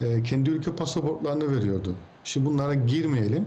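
The speaker is a man. A somewhat breathy quality runs through his voice. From Cyprus. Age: 40s. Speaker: technology expert. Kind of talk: interview.

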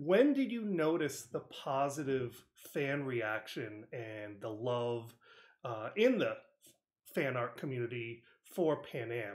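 Delivered at a fairly slow pace with long, frequent pauses, the speech has lively intonation and an American accent. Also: man, medium pitch for a man. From New England (Connecticut). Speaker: podcast host. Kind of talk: interview.

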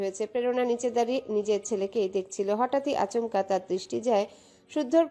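The passage is delivered as plain reading aloud, its pitch varying in an ordinary way.

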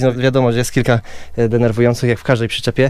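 The recording of this man has a dry sound with no echo. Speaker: family travel vlogger. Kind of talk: casual vlog chat. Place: home room. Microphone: phone near.

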